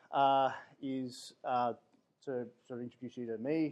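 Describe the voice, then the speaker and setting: Pitched in the medium range, a man talks with an Australian accent. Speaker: security architect. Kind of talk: guest talk. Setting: room with audience.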